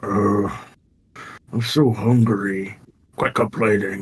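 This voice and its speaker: A man in a put-on character voice, fairly low in pitch, at a very slow pace. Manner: hungry, complaining.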